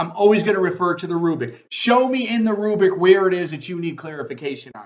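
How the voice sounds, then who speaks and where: A loud man's voice at a fairly quick pace, with ordinary pitch variation. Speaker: college professor. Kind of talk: recorded course introduction lecture. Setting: video recording at computer. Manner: animated.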